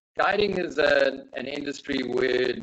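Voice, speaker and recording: This man speaks with a South African accent. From South Africa, Johannesburg. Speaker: safari guide. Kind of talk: webinar presentation. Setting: video call.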